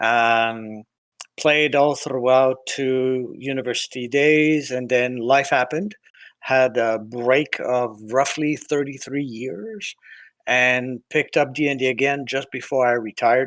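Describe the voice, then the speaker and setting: A man talks at a fairly slow pace with a medium pitch and fairly even intonation. The recording is very clean, with a silent background. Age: 60s. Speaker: tabletop game player. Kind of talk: self-introduction in casual chat. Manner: hesitant, many fillers.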